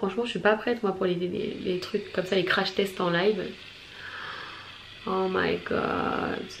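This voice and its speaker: Against noticeable background noise, a woman with a medium pitch speaks at a fairly slow pace, leaving long, frequent pauses. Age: 20s. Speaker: beauty vlogger. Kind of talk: product review vlog.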